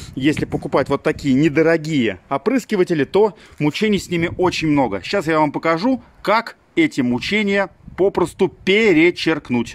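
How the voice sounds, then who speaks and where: Over light background noise, a man with a high pitch speaks at a moderate pace with lively intonation. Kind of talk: tutorial. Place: garden. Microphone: phone near.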